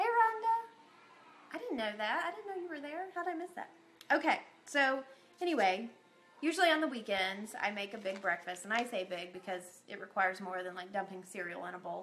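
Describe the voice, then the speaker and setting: A woman talks at a fairly quick pace, with big swings in loudness. Faint music plays in the background. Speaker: lifestyle blogger. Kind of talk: casual live stream chat. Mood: cheerful, friendly. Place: kitchen. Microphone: phone near.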